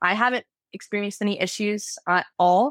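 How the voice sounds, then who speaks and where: With a Southern US accent, a woman at medium pitch speaks with ordinary pitch variation in a dry, close recording with no echo, very clean over a silent background. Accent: American (Southern US). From Florida, US South. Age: 20s. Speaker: university student. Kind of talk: interview.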